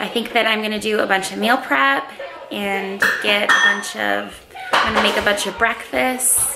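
A woman at a moderate pace, with music in the background. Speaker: home vlogger. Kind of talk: casual vlog chat. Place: home room. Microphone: phone near.

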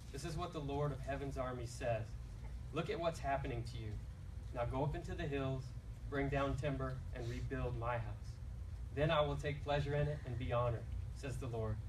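A man at a fairly quick pace, with noticeable background noise behind him. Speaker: scripture reader. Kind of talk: scripture reading. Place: church. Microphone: handheld.

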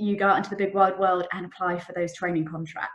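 A woman at medium pitch with an English accent, ordinary pitch variation, quiet background. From England. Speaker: trainee solicitor. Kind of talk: career talk to students. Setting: video call. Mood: warm, encouraging. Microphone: webcam.

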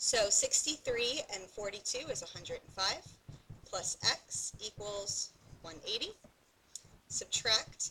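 A woman speaks at a very slow pace against light background noise. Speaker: math teacher. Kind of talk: tutorial.

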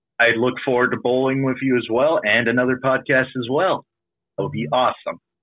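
This man has a normal speaking voice pitched in the medium range. He moves at a fairly quick pace with fairly even intonation. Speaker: novelist and role-player. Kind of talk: casual interview chat. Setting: online voice call.

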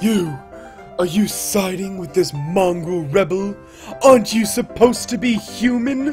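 A man's high-pitched voice at a moderate pace, with clear music in the background. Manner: haughty, contemptuous.

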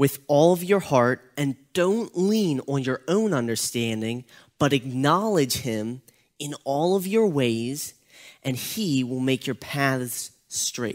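A man speaks at a very slow pace with a quiet background behind him. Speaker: youth pastor. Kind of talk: devotional talk. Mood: calm, earnest, encouraging. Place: church. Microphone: headset.

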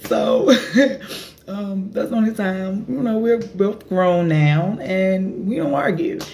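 A woman speaks at a fairly slow pace in a somewhat breathy voice over light background noise. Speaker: vlogger. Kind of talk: casual vlog chat. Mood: relaxed, amused storytelling. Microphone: phone near.

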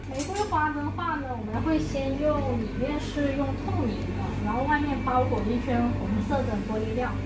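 Loud background noise fills the recording. Over it, a woman talks at a moderate pace. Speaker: glass craft instructor. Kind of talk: tutorial. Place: workshop. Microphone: phone near.

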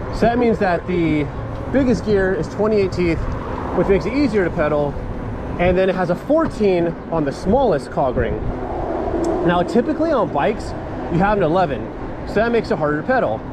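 Loud background noise runs under fairly quick speech, recorded dry with no echo. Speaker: bike reviewer riding. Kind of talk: casual ride-along review commentary. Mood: relaxed, upbeat. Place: bicycle.

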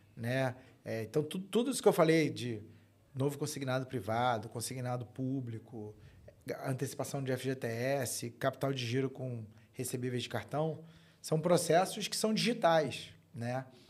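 A man talks at a fairly slow pace with a medium pitch and ordinary pitch variation. It is a normal speaking voice. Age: 40s. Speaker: fintech co-founder and tech executive. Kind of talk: interview, casual chat. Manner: casual, frequent fillers and repetitions.

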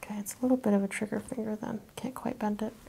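The soft-spoken voice stays flat and monotone at a very fast pace. Light background noise sits underneath. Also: woman. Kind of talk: hands-on assessment talk with explanation. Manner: soft, quiet ASMR-style speech. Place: home room. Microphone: lapel.

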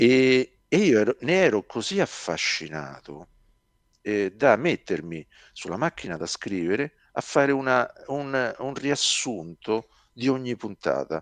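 At a very slow pace, a man with a medium pitch makes very wide pitch swings, the sound dry with no echo and the background quiet. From Rome, Italy; Italy. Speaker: science fiction author; interviewee. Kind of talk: interview. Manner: halting, many repetitions. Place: home room. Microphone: headset.

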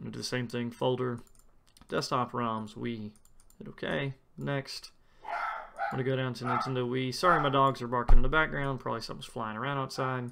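Over noticeable background noise, a medium-pitched man speaks fairly quickly with fairly even intonation and big swings in loudness. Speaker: tech YouTuber. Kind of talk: tutorial. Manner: fast.

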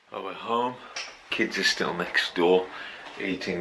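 A man talks at a fairly quick pace in a monotone, flat intonation. Noticeable background noise sits behind him. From Wolverhampton, West Midlands, England. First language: Punjabi and English. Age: 40s. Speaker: pastor. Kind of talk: casual vlog talk to camera. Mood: earnest, intense.

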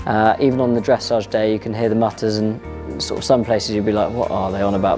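Over faint background music, a man talks at a very fast pace. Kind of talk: interview answer.

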